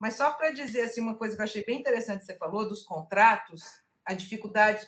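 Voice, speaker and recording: Very fast speech with big swings in loudness and ordinary pitch variation. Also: woman, fairly high pitch for a woman. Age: 60s. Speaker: casting producer and cultural producer. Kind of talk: casual discussion in an online workshop.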